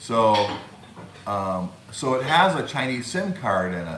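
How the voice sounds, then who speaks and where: Over noticeable background noise and audible room echo, a man speaks at medium pitch. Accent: American. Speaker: YouTube live streamer. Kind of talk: live stream chat. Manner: halting, many fillers.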